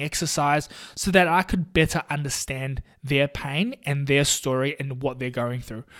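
A man with a New Zealand accent, fairly high in pitch with ordinary pitch variation, at a moderate pace in a very clean recording with a silent background. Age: 20s. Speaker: podcast host and physiotherapist. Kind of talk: casual solo podcast monologue.

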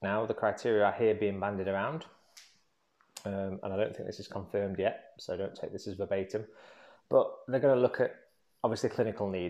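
Speaking at a fairly quick pace with an English accent, a man leaves long, frequent pauses, his loudness swinging widely over a quiet background. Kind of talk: solo monologue vlog. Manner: hesitant, many ums.

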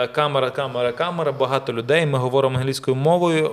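This man's voice sits at medium pitch. He talks at a very fast pace. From Ukraine. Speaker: actor and model. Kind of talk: casual chat. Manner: animated storytelling.

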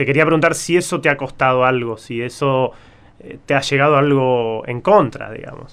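A man with a fairly high pitch, ordinary pitch variation and a Rioplatense accent. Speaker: podcast co-host. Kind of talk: interview.

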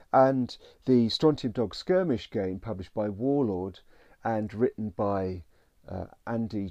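Very slow speech in a British accent, with a dark, mellow tone. The background is quiet. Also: man. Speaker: podcast host.

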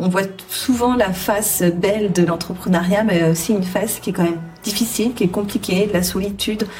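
Noticeable background noise runs under a woman's voice. She speaks at a moderate pace with fairly even intonation. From southwestern France (Charente, rural). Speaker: HR entrepreneur and coach. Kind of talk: interview. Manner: halting, many fillers.

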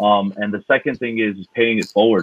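This man speaks with a fairly low pitch. He has an unremarkable speaking voice. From Queens, New York. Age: 30s. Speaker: DJ. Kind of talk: casual chat.

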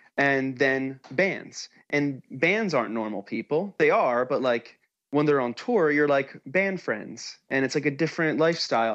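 A man with an American accent speaks fairly slowly in an unremarkable speaking voice, pitched fairly high with ordinary pitch variation. The background is quiet. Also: hardly any pauses. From New Jersey, US. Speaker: musician. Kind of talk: casual chat.

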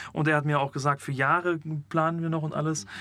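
Very fast and with fairly even intonation, a man with a fairly high voice talks on a very clean recording against a silent background. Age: 20s. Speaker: theology student. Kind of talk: testimony.

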